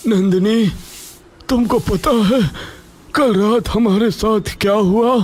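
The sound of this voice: A man's high, cartoonish character voice at a very slow pace, with very even loudness and long, frequent pauses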